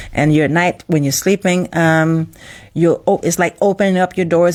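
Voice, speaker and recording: A woman with a very deep, low pitch and fairly even intonation. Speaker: spiritual teacher. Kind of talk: live stream talk. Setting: live stream.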